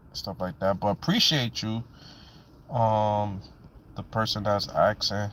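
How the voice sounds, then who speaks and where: A man with a New York accent speaks at a fairly low pitch and fairly slow pace, with ordinary pitch variation and long, frequent pauses. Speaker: live stream host. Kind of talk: live stream chat.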